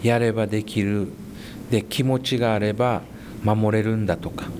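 A man speaks at a fairly slow pace in a fairly low pitch. Noticeable background noise runs underneath. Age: 50s. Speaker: high school basketball coach. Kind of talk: interview.

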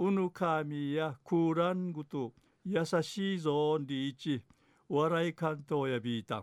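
A man with a plain, everyday voice, fairly high pitch, ordinary pitch variation and a fairly slow pace. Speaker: dialect news presenter. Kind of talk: news reading.

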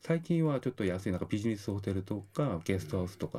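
Against noticeable background noise, a man with a Korean accent speaks at a fairly quick pace with lively intonation. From South Korea. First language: Korean (speaking Japanese). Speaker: university lecturer in tourism marketing. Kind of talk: radio interview. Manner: halting, many fillers.

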